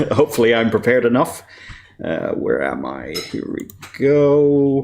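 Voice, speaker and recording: A man speaks with an Irish accent. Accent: Irish, described as weird. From Ireland. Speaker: composer and voice actor. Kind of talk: conference presentation. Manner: hesitant, many fillers.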